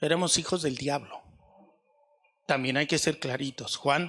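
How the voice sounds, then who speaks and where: A voice with vocal fry and fairly even intonation, captured in a very clean recording against a silent background. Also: man. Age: 60s. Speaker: pastor. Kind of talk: sermon.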